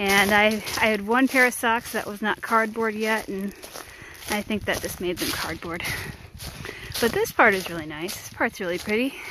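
A woman's voice comes through with a dry sound with no echo and noticeable background noise. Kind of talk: casual vlog chat. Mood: relaxed, good-humoured. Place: forest. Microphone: phone near.

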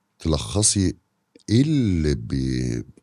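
A man speaks very slowly in an Egyptian accent. His tone is dark and mellow. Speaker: podcast host. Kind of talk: casual interview chat.

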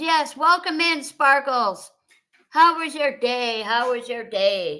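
Against a quiet background, a woman with an American accent speaks at a very slow pace in a raised, projected voice, her high pitch, lively intonation and bright, sharp tone all standing out. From US Midwest, Wisconsin (Fond du Lac); Wisconsin. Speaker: livestream host. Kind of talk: casual chat. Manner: repetitive. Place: home room. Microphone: webcam.

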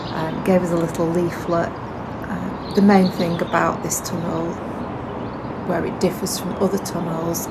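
Loud background noise fills the clip. Through it, a woman speaks at a moderate pace. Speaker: narrowboat vlogger. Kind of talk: casual vlog chat. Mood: relaxed, positive. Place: boat.

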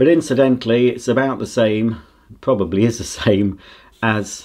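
A man speaks at a fairly slow pace. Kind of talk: casual unboxing commentary. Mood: enthusiastic, chatty. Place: home room.

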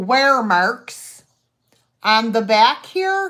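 A very slow woman's voice with very wide pitch swings, against a quiet background. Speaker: live sale host. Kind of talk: live online sale with auctioneer-style bidding. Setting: live stream video. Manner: chatty, friendly. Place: home room. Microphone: phone near.

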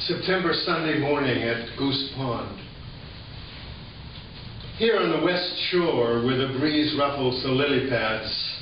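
A man with a fairly high voice speaks at a very slow pace, with long, frequent pauses and ordinary pitch variation. There is audible room echo along with light background noise. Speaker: poet. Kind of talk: poetry reading. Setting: live audience in a hall. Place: hall.

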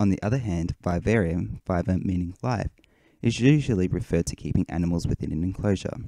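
With an Australian accent, a man speaks at a fairly quick pace in a very deep, low pitch, his intonation lively. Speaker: hermit crab hobbyist and forum moderator. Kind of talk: presentation.

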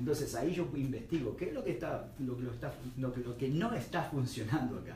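A man speaks at a fairly quick pace with ordinary pitch variation, over light background noise and audible room echo. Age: 40s. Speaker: personal trainer and nutrition coach. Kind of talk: radio interview answer about weight loss. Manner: explanatory, conversational. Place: studio.

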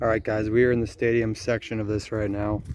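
The voice has a dark, mellow tone and moves at a moderate pace. The sound is dry with no echo, over light background noise. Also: man. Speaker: urban explorer vlogger. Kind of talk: casual vlog narration. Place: stadium. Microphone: phone near.

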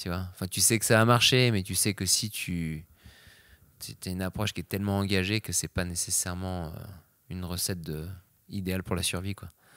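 At a moderate pace with long, frequent pauses, a man with a very deep, low pitch keeps a fairly even intonation, with a dry sound, no echo and a quiet background. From France. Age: 30s. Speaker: extreme sports athlete; interview guest. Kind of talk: interview. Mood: relaxed, reflective. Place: home room. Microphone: handheld.

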